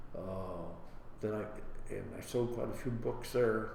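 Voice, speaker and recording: In an American accent, a man talks at a moderate speed amid noticeable background noise and audible room echo. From Ohio, Licking County. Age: 90s. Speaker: war veteran. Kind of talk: oral history interview. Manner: halting.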